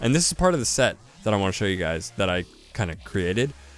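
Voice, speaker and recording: Pitch swinging very widely, a man talks fairly quickly while music plays in the background. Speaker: gaming youtuber. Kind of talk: casual game showcase commentary. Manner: fast; animated.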